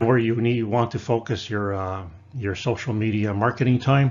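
A man talks at a fairly quick pace, and his intonation is fairly even. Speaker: woodworking instructor. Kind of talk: lecture. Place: home room. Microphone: webcam.

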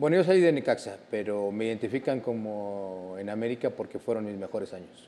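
A man with a fairly low pitch and a dark, mellow tone talks at a fairly quick pace with hardly any pauses, lively intonation and big swings in loudness. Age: 50s. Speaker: former footballer; guest. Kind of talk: casual chat. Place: studio. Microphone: lapel.

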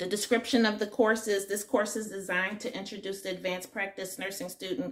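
At a very fast pace, a woman speaks, her pitch varying in an ordinary way. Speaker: nursing student vlogger. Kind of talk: casual vlog chat. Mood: upbeat, laughs a little. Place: home room. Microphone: phone near.

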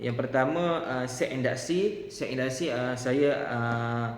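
A man's medium-pitched voice at a fairly slow pace with fairly even intonation, plus noticeable background noise and audible room echo. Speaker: teacher trainee. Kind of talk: tutorial. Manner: halting with frequent fillers.

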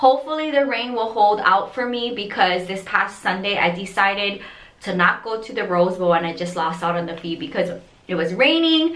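Speaking at a moderate pace, a woman's voice shows big swings in loudness. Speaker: resin art vlogger. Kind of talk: casual vlog chat. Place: bathroom. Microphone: phone near.

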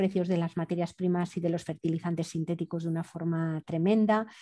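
A woman speaks in a fairly low pitch with monotone, flat intonation. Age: 50s. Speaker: anthropologist and environmental activist. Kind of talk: interview. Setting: remote call. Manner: halting.

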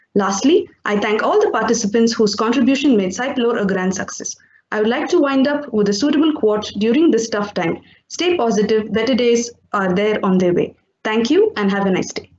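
Audible room echo surrounds this woman's voice. She talks with lively intonation at a fairly high pitch. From India. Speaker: teacher. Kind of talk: vote of thanks. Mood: polite, grateful. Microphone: webcam.

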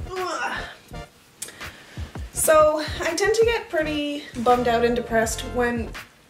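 Over clear background music, a woman speaks with very wide pitch swings. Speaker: vlogger. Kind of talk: casual talk to camera. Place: home room. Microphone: camera far.

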